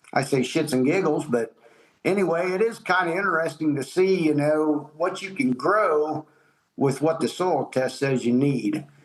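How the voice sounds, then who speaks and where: Using ordinary pitch variation, a man with an American accent speaks at a fairly high pitch. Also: moderate pace. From Ohio. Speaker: farmer. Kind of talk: interview answer. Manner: casual, plain-spoken.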